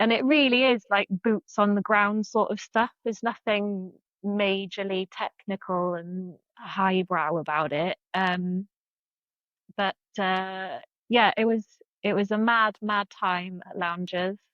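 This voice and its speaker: In a South Wales accent, a woman with medium pitch speaks at a very slow pace with ordinary pitch variation. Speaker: freelance marketing consultant. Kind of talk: interview answer.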